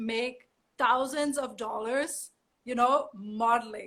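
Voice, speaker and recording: A woman's bright, sharp voice, high in pitch with ordinary pitch variation, in a strong German accent. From Germany. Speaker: model. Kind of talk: interview.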